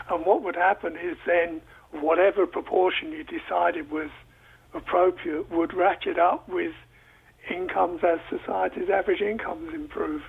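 A man talks at a moderate pace as noticeable background noise carries on. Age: 70s. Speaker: economics professor. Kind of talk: radio call-in discussion. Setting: phone line. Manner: halting.

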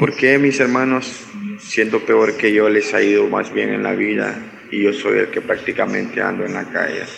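Music in the background behind a man's fairly slow delivery. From Honduras. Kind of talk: recorded viewer question.

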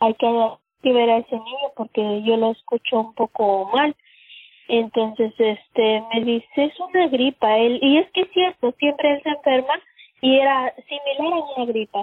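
A woman with a high voice talks fairly slowly. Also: ordinary pitch variation. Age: 30s. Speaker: cleaning worker and patient's mother. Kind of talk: personal testimony. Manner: halting, with filler words.

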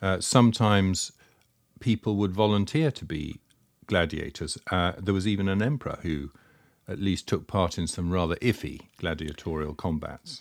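A man with a British accent speaks at a moderate pace in a very deep, low pitch, recorded very cleanly with a silent background. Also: ordinary pitch variation. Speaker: podcast host. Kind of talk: casual chat.

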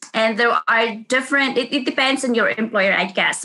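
Here a woman talks with a Filipino accent. Her pitch sits fairly high. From Philippines. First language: Philippine language. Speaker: nurse. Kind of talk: interview. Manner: halting, with frequent fillers.

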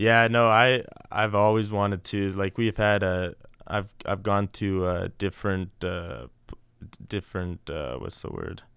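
An ordinary speaking voice at a fairly slow pace. Its pitch varies in an ordinary way. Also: man, fairly low pitch for a man. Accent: Canadian. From Canada, Alberta (St. Albert). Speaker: college baseball player. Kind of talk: interview.

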